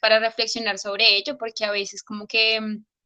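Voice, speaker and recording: In a Colombian accent, a woman delivers her words in a bright, sharp tone with monotone, flat intonation. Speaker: capoeira practitioner. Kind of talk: online meeting discussion. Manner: hesitant, many fillers.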